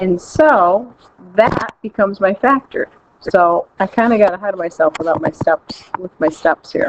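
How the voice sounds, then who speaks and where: Moderate in pace, a woman has a normal speaking voice at medium pitch. Her intonation is lively, and the sound is dry and close with no echo. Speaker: high school math teacher. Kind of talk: recorded math lesson.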